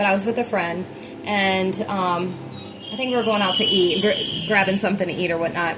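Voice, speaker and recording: In a room with audible echo and noticeable background noise, a woman speaks at a fairly quick pace with medium pitch and fairly even intonation. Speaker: tarot reader. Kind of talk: collective tarot reading. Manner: fast; casual, filler-heavy.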